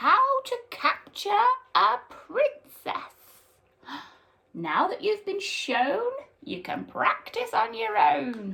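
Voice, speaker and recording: A woman speaks in a put-on character voice at an extremely high pitch. Her pace is very slow. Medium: read story. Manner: brisk, encouraging.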